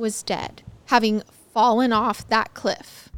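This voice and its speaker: Over music in the background, a woman speaks in a dramatic tone with a high pitch. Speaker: true crime podcaster. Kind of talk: true-crime narration. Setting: video podcast set. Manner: measured, dramatic storytelling.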